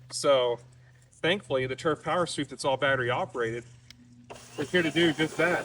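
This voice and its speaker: Over noticeable background noise, the speaker moves at a fairly quick pace with long, frequent pauses and ordinary pitch variation. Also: man, fairly high pitch for a man. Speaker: turf industry business owner and product demonstrator. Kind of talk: casual product demonstration to camera. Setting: outdoors, in a yard.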